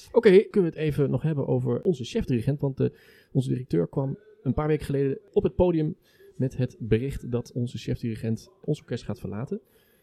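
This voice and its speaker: A man's medium-pitched voice with a dark, mellow tone at a very fast pace, dry and close with no echo. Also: lively intonation. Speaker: podcast host and orchestra musician. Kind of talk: casual chat. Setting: brasserie.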